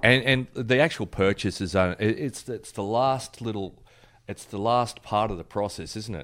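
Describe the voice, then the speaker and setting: A man in an Australian accent speaks at a fairly low pitch and moderate pace. His pitch varies in an ordinary way, while his loudness swings widely. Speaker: collector podcast co-host. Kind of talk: casual chat. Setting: video call.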